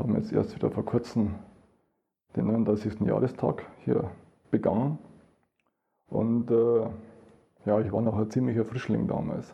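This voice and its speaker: A man talks at a fairly slow pace and medium pitch, with vocal fry. His tone is dark and mellow, his intonation fairly even. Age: 60s. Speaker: Red Cross paramedic volunteer. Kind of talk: personal testimony at a live event. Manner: halting, many repeated words.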